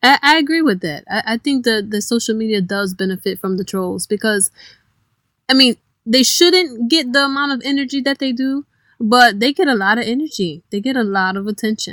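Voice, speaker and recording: With an American accent, a woman has an unremarkable speaking voice pitched fairly high, with lively intonation at a fairly quick pace. The recording is very clean with a silent background and a dry, close sound with no echo. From Cleveland, Ohio. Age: 30s. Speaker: DJ. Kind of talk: casual interview.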